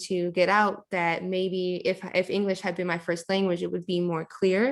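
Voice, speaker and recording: A woman speaks with a Michigan accent at a medium pitch, her intonation flat and monotone, on a very clean recording with a silent background. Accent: Michigan American English. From Southfield, Michigan, US. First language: Chaldean (Neo-Aramaic). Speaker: poet. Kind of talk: audience Q&A. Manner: hesitant, many fillers.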